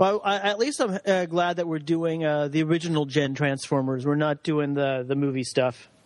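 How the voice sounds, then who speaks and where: Moderate pace and ordinary pitch variation in an unremarkable speaking voice from a man, pitched fairly high. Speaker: guest. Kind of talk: casual chat.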